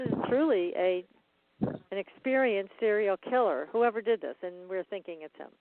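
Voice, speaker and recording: This unremarkable speaking voice moves at a moderate pace, with lively intonation and big swings in loudness. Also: woman, medium pitch for a woman. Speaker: paranormal researcher and radio host. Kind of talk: interview question.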